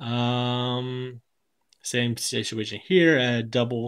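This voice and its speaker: A man with a medium-pitched voice is captured on a very clean recording against a silent background. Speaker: board game reviewer. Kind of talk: tutorial.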